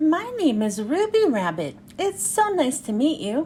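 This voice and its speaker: Soft-spoken in a put-on character voice, a woman talks at a moderate pace with a high pitch and very wide pitch swings over clear background noise. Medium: read story.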